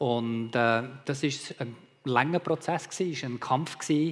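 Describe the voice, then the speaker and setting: A man speaks at a very slow pace in a Bernese accent. His intonation stays fairly even. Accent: Bernese Swiss German. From Malaysia (Sabah, Borneo), Swiss mother. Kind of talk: testimony.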